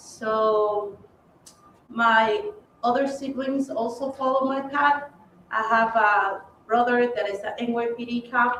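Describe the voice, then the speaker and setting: Speaking very slowly with long, frequent pauses, a woman with a Spanish accent uses a high pitch and fairly even intonation. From Ecuador. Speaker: police officer. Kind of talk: panel talk.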